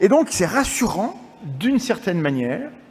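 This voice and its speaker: This man speaks with a high pitch. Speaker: science communicator and lecturer. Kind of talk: conference lecture. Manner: halting; fast.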